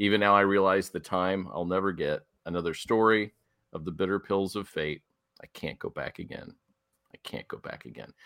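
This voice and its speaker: A man speaks at a moderate pace with a fairly low pitch, fairly even intonation and a bright, sharp tone, though his loudness swings widely. The recording is very clean and dry, close with no echo and a silent background. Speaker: podcast host. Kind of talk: casual chat.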